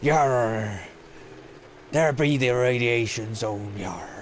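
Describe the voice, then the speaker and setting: A man puts on a character voice at a medium pitch, speaking very slowly over clear background noise. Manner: exaggerated, playful.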